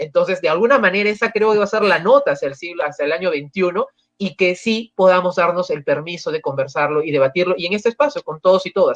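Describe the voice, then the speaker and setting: The speech comes at a very fast pace. There are hardly any pauses. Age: young. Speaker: panelist. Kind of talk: panel discussion. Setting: livestream.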